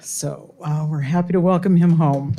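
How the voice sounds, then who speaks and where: This woman has a plain, everyday voice with a fairly low pitch. She talks at a moderate pace with lively intonation. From Arizona. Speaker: retired engineer reading inmates' work. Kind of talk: reading aloud.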